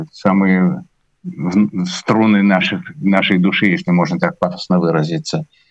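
This man talks at a very slow pace in a fairly low pitch. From Latvia, Riga. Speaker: musician and conductor. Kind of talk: interview.

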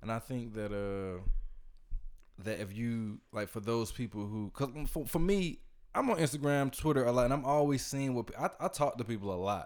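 A man with an American accent uses an ordinary speaking voice, a medium pitch and lively intonation at a moderate pace in a very clean recording with a silent background. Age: 20s. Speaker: podcast host. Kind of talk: casual chat. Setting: studio.

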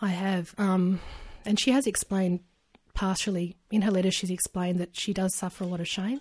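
A woman with an Australian accent speaks fairly quickly in a medium-pitched, somewhat breathy voice with fairly even intonation, on a very clean recording with a silent background. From rural New South Wales, Australia. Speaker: adoptee sharing her story. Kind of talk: interview.

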